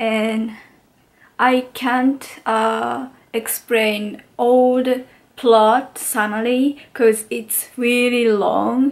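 The speech comes at a very slow pace in a non-native accent. The intonation stays monotone and flat. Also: woman, fairly high pitch for a woman. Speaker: international student. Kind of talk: casual talk to camera. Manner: hesitant, many filler sounds. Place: home room. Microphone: phone near.

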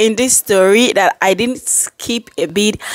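Woman with lively intonation and a fairly high pitch, dry sound with no echo, quiet background. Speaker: commentary video creator. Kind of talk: commentary intro and outro addressing viewers. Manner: casual, chatty, enthusiastic. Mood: animated, expressive. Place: home room. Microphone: phone near.

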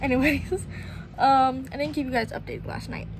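With an American accent, a woman talks while noticeable background noise is present. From Florida. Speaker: vlogger. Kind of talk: casual travel vlog narration. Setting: outdoors. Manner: animated. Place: street. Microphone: phone near.

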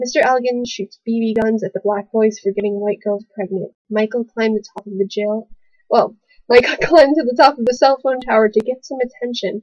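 A woman with a plain, everyday voice talks at a fairly quick pace and a fairly high pitch. Her pitch varies in an ordinary way against a quiet background. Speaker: college student. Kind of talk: poetry reading. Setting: webcam recording. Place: home room. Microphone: webcam.

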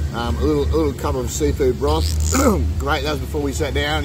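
Music plays behind a man with a very deep, low pitch who talks very fast in a dry sound with no echo. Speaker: food vlogger. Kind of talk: casual vlog chat. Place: cafe.

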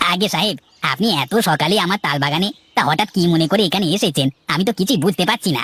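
A cartoonish character voice at a middle pitch moves along at a fairly quick pace. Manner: deferential, eager to please.

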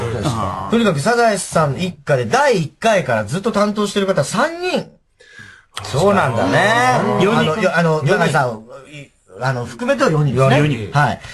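Over noticeable background noise, a man speaks at a fairly quick pace with a fairly high pitch. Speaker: radio show host, comedian. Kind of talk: radio talk show banter. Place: studio.

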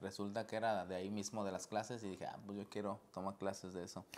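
This man's pitch is fairly low, and he moves at a fairly quick pace. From Mexico, Guadalajara, Jalisco. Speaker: professional indoor soccer player. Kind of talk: interview. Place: studio.

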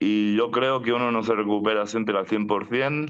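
Against a quiet background, a man speaks very slowly at a fairly low pitch with fairly even intonation. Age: 40s. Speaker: mental health activist. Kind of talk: testimony; personal testimony in webinar. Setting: video call. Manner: halting, with frequent repetitions and fillers. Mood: calm, reflective. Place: home room. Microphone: video call.

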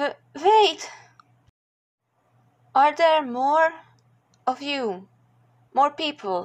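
A woman puts on a character voice, speaking very slowly at a high pitch with lively intonation.

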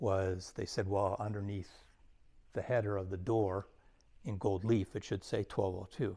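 A man's voice at a fairly slow pace with fairly even intonation. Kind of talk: interview answer. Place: hall.

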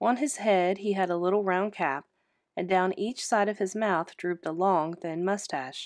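Fairly even intonation in a natural reading voice, set in a quiet background

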